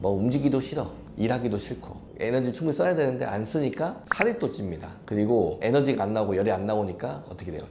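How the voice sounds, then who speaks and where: Speaking at a very fast pace, a man keeps a medium pitch. Noticeable background noise and audible room echo surround him. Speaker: physician. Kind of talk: health explainer interview. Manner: conversational, explanatory.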